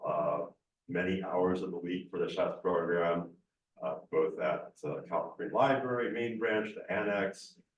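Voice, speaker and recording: Audible room echo surrounds a man who speaks fairly slowly. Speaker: council applicant. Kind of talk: interview. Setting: council chambers.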